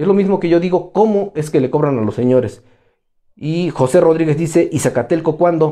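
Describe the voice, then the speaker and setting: In a fairly high yet dark, mellow voice, a man speaks at a moderate pace with ordinary pitch variation against a quiet background. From Mexico, Tlaxcala (Chiautempan); Tlaxcala. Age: 40s. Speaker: political commentator. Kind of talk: live stream commentary. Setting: Facebook live stream. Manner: animated. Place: office.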